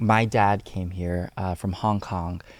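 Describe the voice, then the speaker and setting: The speaker has a Cantonese accent. The pace is fairly slow. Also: man. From US, Houston, Texas (Alief). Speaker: youth civic organizer. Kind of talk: podcast interview. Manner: frequent filler hesitations.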